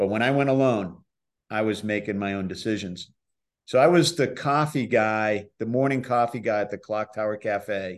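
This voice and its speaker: A man with an American accent speaks at a moderate pace in an unremarkable speaking voice, his fairly low pitch moving with ordinary variation over a quiet background. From Boston area, Massachusetts. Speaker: professional skier and filmmaker. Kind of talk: casual chat.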